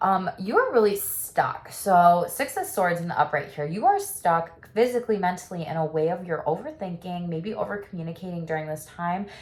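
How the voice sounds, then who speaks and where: A woman speaks at a medium pitch with ordinary pitch variation and hardly any pauses, with noticeable background noise behind her. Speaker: tarot reader and sex therapist. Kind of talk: tarot reading. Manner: fast; casual, animated.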